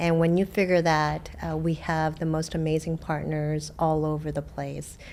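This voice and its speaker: A woman with a Korean accent at a moderate pace, with hardly any pauses. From South Korea, moved to US at age eight. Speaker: water district general manager. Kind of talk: interview.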